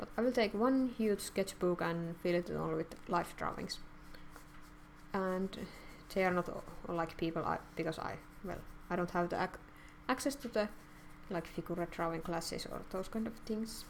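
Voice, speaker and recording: A woman with a non-native accent speaks at a moderate pace and medium pitch, with ordinary pitch variation and long, frequent pauses. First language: not English. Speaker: artist streamer. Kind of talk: live stream chat while drawing. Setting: live stream. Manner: halting.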